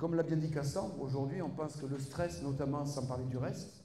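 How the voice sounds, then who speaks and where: Speaking with a slight Marseille accent, a man with a dark, mellow, somewhat breathy tone and fairly high pitch talks at a moderate pace with fairly even intonation amid audible room echo. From southern France, Marseille. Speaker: doctor and university lecturer. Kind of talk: conference talk.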